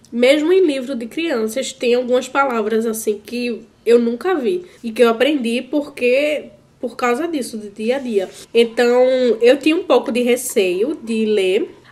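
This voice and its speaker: A high-pitched woman at a fairly slow pace, with ordinary pitch variation. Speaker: YouTuber, school substitute teacher. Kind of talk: casual vlog monologue. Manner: casual, halting with fillers.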